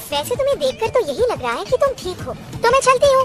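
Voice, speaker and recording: Over music in the background, a woman does a put-on character voice that is squeaky and extremely high, racing at a very fast pace with very wide pitch swings. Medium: fan dub.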